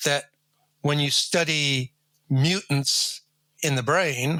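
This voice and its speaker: A very slow, fairly high male voice with a bright, sharp tone and fairly even intonation. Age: 70s. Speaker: retired neuroscience professor. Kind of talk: interview.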